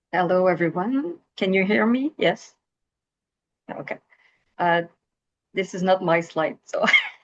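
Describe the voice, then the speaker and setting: Speaking with a slight Quebec accent, a woman uses lively intonation at a medium pitch. Her pace is fairly slow, with long, frequent pauses. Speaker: researcher. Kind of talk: webinar presentation.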